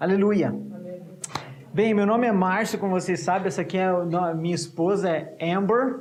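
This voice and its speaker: A man speaks at a moderate pace in a high-pitched voice. Noticeable background noise and audible room echo are present. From Brazil. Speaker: missionary preacher. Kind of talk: sermon. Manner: halting, repeats words.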